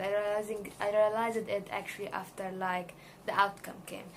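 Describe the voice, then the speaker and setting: With room echo audible, a woman talks at a moderate pace and medium pitch, her intonation fairly even. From Egypt. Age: 20s. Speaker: student. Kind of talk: video job application interview answers. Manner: hesitant, many fillers.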